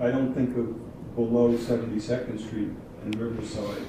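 A medium-pitched man with an American accent speaks at a fairly slow pace amid noticeable background noise and audible room echo. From New York City, Harlem. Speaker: retired school administrator. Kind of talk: casual interview chat.

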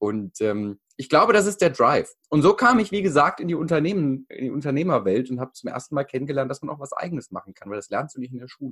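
A man races along at a very fast pace with hardly any pauses, his fairly high voice showing very wide pitch swings and big swings in loudness. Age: 20s. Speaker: mental coach and speaker. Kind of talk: interview conversation. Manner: halting, many fillers.

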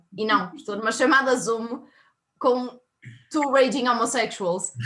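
Her pitch is high, and this woman uses ordinary pitch variation. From northern Portugal, Minho (Viana do Castelo). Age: 20s. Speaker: university student, quiz contestant. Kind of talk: casual quiz chat. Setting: video call.

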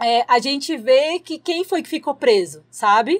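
Here a woman speaks. Her pitch variation is ordinary. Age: 20s. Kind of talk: casual interview.

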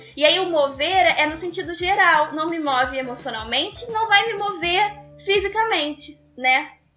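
Extremely high-pitched woman's voice, raised and projected, with lively intonation. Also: fairly slow pace. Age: 20s. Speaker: dancer and dance student. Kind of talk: casual interview chat.

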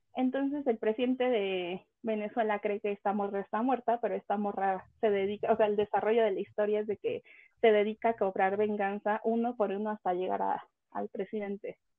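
The woman speaks at a fairly quick pace. Her intonation stays fairly even. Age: 20s. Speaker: gamer, communications professional. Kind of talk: casual chat.

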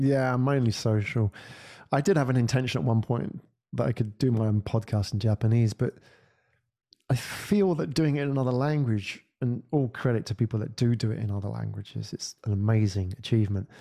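In a very clean recording with a silent background, a man with a British accent talks at a fairly quick pace, his tone dark and mellow and his pitch variation ordinary. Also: medium pitch for a man. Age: 40s. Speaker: podcast agency founder and podcaster. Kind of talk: casual interview chat.

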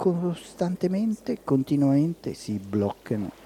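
A man with a dark, mellow tone and lively intonation. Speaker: spiritual reading and meditation host. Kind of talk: reading aloud.

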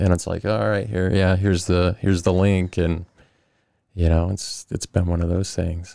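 A man talks at a moderate pace with a very deep, low pitch. The recording is very clean, with a silent background. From Arizona, Glendale area. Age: 30s. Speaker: sheriff's deputy and skateboarder, army veteran. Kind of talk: casual interview chat.

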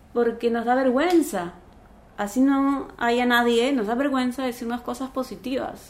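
The tone is calm. Delivery comes at a fairly slow pace. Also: woman. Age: 40s. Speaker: former telenovela actress, life coach and meditation teacher. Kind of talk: casual chat.

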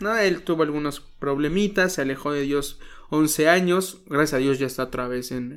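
A fairly high-pitched man with an animated tone and lively intonation at a moderate pace, on a very clean recording with a silent background. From Mexico, Guerrero (Chilpancingo). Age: 20s. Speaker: pastor and radio announcer. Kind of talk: casual interview. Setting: outdoors. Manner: animated, joking.

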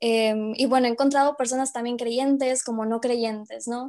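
A woman's high voice at a moderate pace, with fairly even intonation and a quiet background. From Mexico, Monterrey. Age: 20s. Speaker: medical student and youth evangelizer. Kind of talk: interview.

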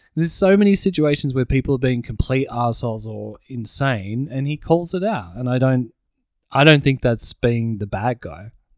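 This is a man with an Australian accent. He speaks with lively intonation. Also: medium pitch for a man, moderate pace. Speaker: podcast co-host. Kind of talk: casual chat.

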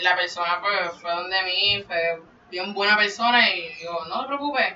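A woman talks with ordinary pitch variation. Noticeable background noise sits under her voice. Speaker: podcaster. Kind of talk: casual chat.

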